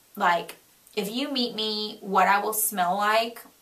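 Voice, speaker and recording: A woman's fairly high voice with an American accent, over noticeable background noise. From Florida, US South. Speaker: beauty vlogger. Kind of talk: product review vlog; reading aloud. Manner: animated.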